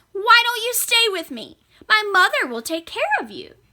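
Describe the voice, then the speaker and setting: Putting on a squeaky character voice, a woman speaks at an extremely high pitch and a moderate pace, with very wide pitch swings and big swings in loudness. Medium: read story. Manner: earnest, questioning.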